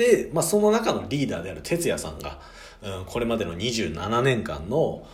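A man's voice swings a lot in loudness, with audible echo from the room. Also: moderate pace. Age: 20s. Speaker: podcast host. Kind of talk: solo talk book review. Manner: casual, with fillers.

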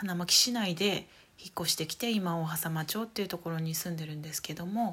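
Somewhat breathy, a woman's fairly low voice moves at a moderate pace with ordinary pitch variation. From Saitama, Japan. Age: 30s. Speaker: podcaster. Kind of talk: casual solo talk.

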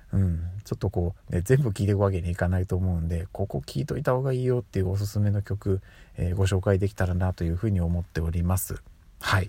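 In a very clean recording with a silent background, a man speaks very fast in a very deep, somewhat breathy voice with a dark, mellow tone and ordinary pitch variation. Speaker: podcast host. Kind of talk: casual solo monologue. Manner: frequent filler hesitations.

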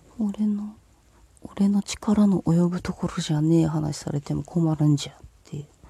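Noticeable background noise sits under speech delivered at a fairly slow pace. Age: 40s. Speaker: solo podcaster. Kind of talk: casual solo monologue. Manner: low-key.

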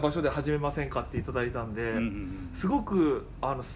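Audible echo fills the room as a man speaks at a moderate pace. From Okinawa. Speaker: comedian. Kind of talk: casual chat.

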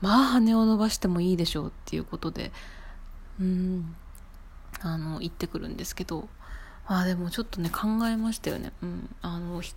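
A somewhat breathy woman speaks at a moderate pace, leaving long, frequent pauses. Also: medium pitch for a woman, ordinary pitch variation. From Japan. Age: 20s. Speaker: podcaster. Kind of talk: casual solo podcast talk.

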